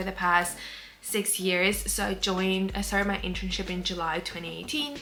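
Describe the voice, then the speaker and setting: Over music in the background, a woman talks at a fairly quick pace with audible room echo. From Cyprus. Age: 20s. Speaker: vlogger and weightlifter. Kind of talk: casual vlog talk to camera. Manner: chatty, filler-heavy.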